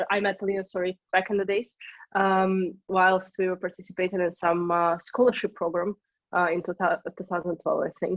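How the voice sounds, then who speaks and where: Delivered at a fairly quick pace in a Russian accent, the speech is flat and monotone. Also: woman. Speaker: startup co-founder. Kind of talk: interview.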